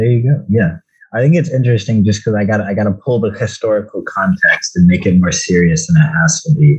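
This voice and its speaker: A man's medium-pitched, somewhat breathy voice at a very fast pace, with very wide pitch swings. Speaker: podcast host. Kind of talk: casual chat about a movie.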